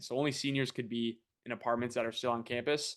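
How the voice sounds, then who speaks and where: Against a quiet background, a man uses a plain, everyday voice with fairly even intonation at a moderate pace. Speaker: former college baseball player. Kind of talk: casual chat.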